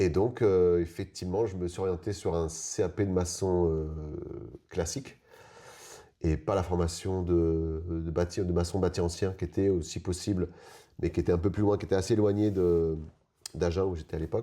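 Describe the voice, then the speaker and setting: A dark, mellow voice moves at a moderate pace with long, frequent pauses. The intonation is fairly even, and the background is quiet. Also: man, very deep, low pitch for a man. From Paris region, France. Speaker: eco-building mason. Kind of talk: interview. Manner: halting, many hesitations.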